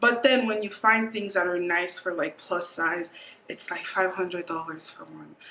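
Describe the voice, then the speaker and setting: A woman's voice, moderate in pace and ordinary in pitch variation, sits against noticeable background noise. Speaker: vlogger. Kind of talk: casual vlog monologue. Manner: filler-heavy, halting.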